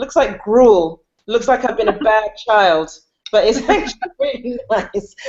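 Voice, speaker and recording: Her pitch is fairly high. The woman keeps a moderate pace. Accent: British. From United Kingdom. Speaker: comedian and actress. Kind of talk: casual chat.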